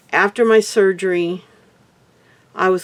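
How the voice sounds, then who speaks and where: A woman talks with fairly even intonation at a medium pitch. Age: 60s. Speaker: heart attack survivor vlogger. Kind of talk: personal testimony. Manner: halting.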